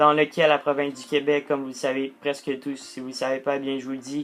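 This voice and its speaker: The man speaks at a fairly high pitch. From Quebec, Portuguese heritage. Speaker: gaming youtuber. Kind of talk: casual vlog monologue. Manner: halting, many fillers.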